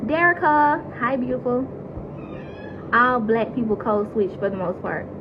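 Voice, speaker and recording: Speaking at a fairly slow pace in an American accent, a woman has a high pitch and lively intonation, with audible room echo and noticeable background noise. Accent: Southern accent, noticed by viewers. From US South, Mississippi. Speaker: reality TV cast member. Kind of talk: casual chat answering live viewer questions. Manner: animated.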